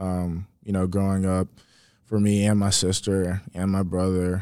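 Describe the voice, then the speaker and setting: The intonation stays monotone and flat on a very clean recording with a silent background. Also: man. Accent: American. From US South. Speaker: college football player. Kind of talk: interview. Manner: halting.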